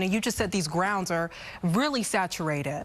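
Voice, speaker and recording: A woman's unremarkable speaking voice at a medium pitch, fairly quick in pace, with lively intonation. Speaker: TV news anchor. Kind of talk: TV news read.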